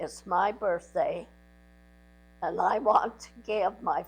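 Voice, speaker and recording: Music plays in the background while a woman talks. She speaks very slowly at a medium pitch. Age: 80s+. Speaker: grandmother sharing life story. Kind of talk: personal recorded message to family.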